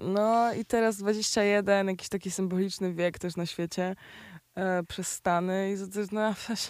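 A woman's medium-pitched voice, flat and monotone, at a fairly slow pace, in a very clean recording with a silent background. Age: 20s. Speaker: rapper. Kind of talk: casual chat.

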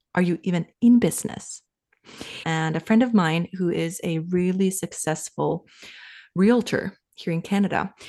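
A woman in a Finnish accent, fairly slow, with ordinary pitch variation. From Finland. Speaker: sales coach and business advisor. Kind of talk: casual interview.

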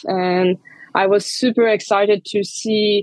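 The speaker has a Hungarian accent and a fairly even intonation. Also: woman. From Transylvania, Hungarian-speaking region of Romania. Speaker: bar manager, bartender. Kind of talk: interview. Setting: remote call.

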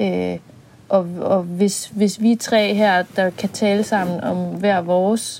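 A woman's voice sits at a medium pitch, her intonation fairly even and her pace very slow. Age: 30s. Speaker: podcast co-host, psychologist. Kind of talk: casual chat; scripted narration.

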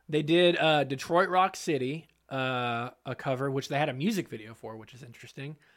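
A man's ordinary speaking voice, fairly high in pitch, with ordinary pitch variation, big swings in loudness and hardly any pauses, on a very clean recording with a silent background. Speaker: podcast host. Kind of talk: casual banter podcast.

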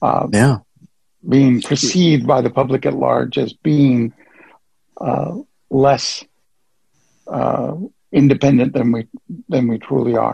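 A man speaks very slowly in a medium pitch, with fairly even intonation and long, frequent pauses. His tone is dark and mellow, with vocal fry. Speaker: caller. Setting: phone call.

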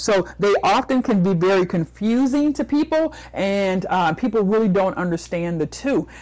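This woman's medium-pitched voice carries a passionate tone and lively intonation. The recording is very clean, with a silent background. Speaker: motivational speaker and business coach. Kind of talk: interview.

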